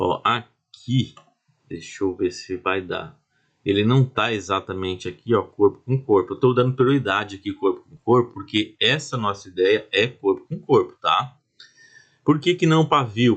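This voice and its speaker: Against a quiet background, a man speaks at medium pitch with lively intonation. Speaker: trading instructor. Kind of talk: tutorial. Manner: slow, deliberate.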